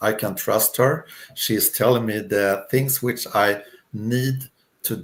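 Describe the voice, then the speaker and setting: In a Swedish accent, a man speaks at a very slow pace with ordinary pitch variation. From Sweden. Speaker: retired career coach. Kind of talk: interview. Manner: hesitant.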